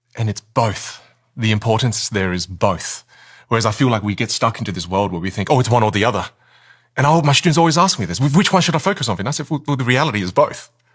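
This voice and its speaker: Someone with an Australian accent speaks at a very fast pace, somewhat breathy, in a very clean recording with a silent background. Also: man, medium pitch for a man. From Australia, Vietnamese-Chinese family. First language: Chinese dialect, then Vietnamese. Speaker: communication coach. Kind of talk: podcast interview. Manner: halting, repeats words.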